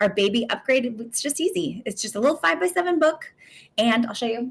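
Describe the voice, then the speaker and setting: A woman's fairly high voice, animated and quick-paced, with lively intonation. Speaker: photography business coach. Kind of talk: live webinar sales pitch. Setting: livestream. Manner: fast.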